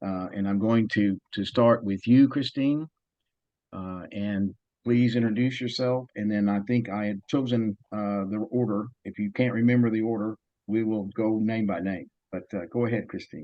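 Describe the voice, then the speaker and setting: This man speaks with a Southern US accent and a fairly low pitch. His intonation is fairly even. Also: moderate pace. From US South. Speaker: panel moderator, development expert. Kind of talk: panel moderation.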